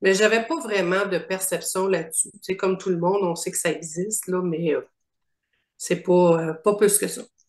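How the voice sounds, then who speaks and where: A woman talks at a moderate pace in an ordinary speaking voice, her pitch medium and her intonation fairly even. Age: 60s. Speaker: coaching client. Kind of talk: interview testimony.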